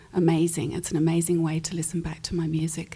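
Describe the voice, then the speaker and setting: A woman speaks in a fairly low, dark, mellow voice that is somewhat breathy. She has an Australian accent. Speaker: pianist and recording artist. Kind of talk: panel discussion.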